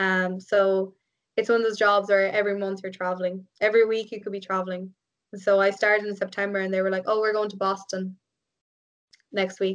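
A woman with an Irish accent, medium pitch, monotone, flat intonation and a fairly quick pace. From Ireland. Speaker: biomedical engineer and triathlete. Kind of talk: casual interview chat. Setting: remote call.

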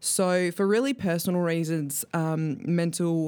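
Fairly low-pitched, fairly slow speech from a woman in an ordinary speaking voice, on a very clean recording with a silent background. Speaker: youth ambassador volunteer. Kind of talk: testimony.

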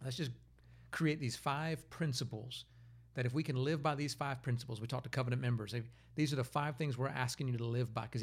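Somewhat breathy and at a very fast pace, a man speaks at a medium pitch with fairly even intonation. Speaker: pastor. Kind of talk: interview. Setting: studio.

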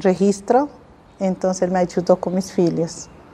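With fairly even intonation, a woman talks in a voice of medium pitch. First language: Spanish (speaking Portuguese). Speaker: immigrant social agent. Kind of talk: interview testimony.

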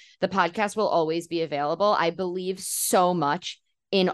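Over a quiet background, a woman with a New York accent talks at a moderate pace and a fairly low pitch. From New York City, Queens. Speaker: journalist and podcast host. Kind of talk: interview.

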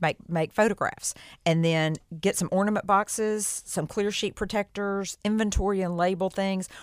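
On a very clean recording with a silent background, a woman with a normal speaking voice talks at a medium pitch and moderate pace with fairly even intonation. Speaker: professional organizer and estate sale coordinator. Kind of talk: radio interview.

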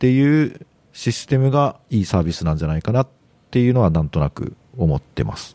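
Dark and mellow in tone, a man of medium pitch talks at a moderate pace with very wide pitch swings. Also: dry, close sound with no echo. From Japan. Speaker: podcast guest. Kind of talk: casual chat.

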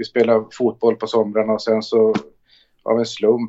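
A man's medium-pitched voice at a moderate pace. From northern Sweden, Luleå. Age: 40s. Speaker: basketball coach. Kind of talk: interview. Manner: talkative; calm.

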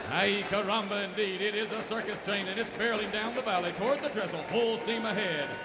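A man's high-pitched, raised, projected voice against noticeable background noise. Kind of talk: radio theater narration. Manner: dramatic, animated announcer delivery, tongue-in-cheek; formal, brisk, old-time serial narrator.

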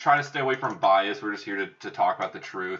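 A man with an American accent talks in a normal speaking voice, fairly low in pitch, with lively intonation. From Minnesota. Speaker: podcast co-host. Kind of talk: casual chat.

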